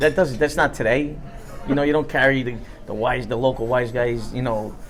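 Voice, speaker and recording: Talking at a fairly quick pace with a New York accent, a man keeps a medium pitch and fairly even intonation over noticeable background noise. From New York, Ozone Park, Queens. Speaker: former mob associate. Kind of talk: casual interview. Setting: restaurant.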